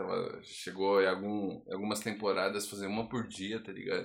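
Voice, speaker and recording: Here a man talks at a fairly low pitch. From São Paulo, Brazil. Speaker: rapper. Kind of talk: casual chat.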